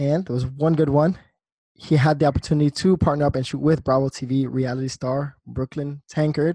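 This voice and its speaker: A man's somewhat breathy, fairly high voice in an American accent, fairly quick and monotone with flat intonation, dry and close with no echo against a quiet background. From New Jersey. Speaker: podcast host and photographer. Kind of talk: casual interview.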